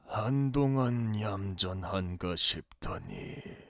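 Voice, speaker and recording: A man puts on a character voice, fairly low in pitch, and talks very slowly. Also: ordinary pitch variation. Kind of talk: historical court speech. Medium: audio drama. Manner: deferential, smooth.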